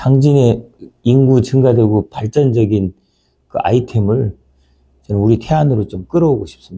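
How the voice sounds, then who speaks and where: A man speaks at a medium pitch and a moderate pace, somewhat breathy, with a dark, mellow tone and ordinary pitch variation. His loudness swings widely, and he pauses long and often. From Taean, Chungcheongnam-do, Korea. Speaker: former provincial councillor. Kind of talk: casual chat interview.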